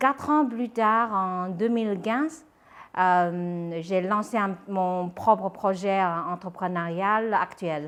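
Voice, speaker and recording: Over a quiet background, a woman talks very slowly at medium pitch with ordinary pitch variation. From China, Shandong province. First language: Chinese (speaking French). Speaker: entrepreneur, founder of a children's clothing brand. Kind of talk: interview. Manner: hesitant, with fillers.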